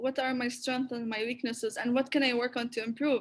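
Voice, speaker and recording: A woman speaks with an Arabic accent in a high voice. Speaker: creative critique platform founder. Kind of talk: online talk Q&A. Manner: halting with frequent repetitions.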